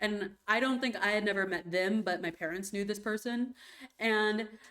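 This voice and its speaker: A woman talks at a fairly slow pace in a fairly high voice. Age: 20s. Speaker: vtuber streamer. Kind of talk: casual live stream chat.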